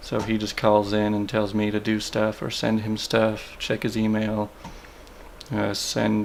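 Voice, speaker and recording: Against noticeable background noise, the speech goes at a fairly slow pace. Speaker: vlogger and engineering drafting assistant. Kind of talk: vlog narration and interview. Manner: quiet, trying not to wake sleepers.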